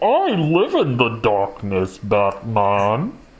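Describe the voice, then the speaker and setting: Speaking at a very slow pace, a put-on character voice stays low in pitch. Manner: slow, menacing.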